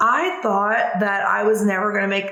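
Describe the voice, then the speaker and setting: A woman with a Southern US accent talks in an animated tone at a fairly high pitch. Noticeable background noise and audible room echo surround her. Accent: Southern twang. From US South. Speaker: business coach. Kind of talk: tutorial. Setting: home video recording. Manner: fast; casual, animated.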